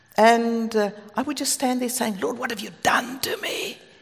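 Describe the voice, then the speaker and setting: A woman speaks in a South African accent with a fairly high pitch. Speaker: preacher. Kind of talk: sermon. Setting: stage with audience.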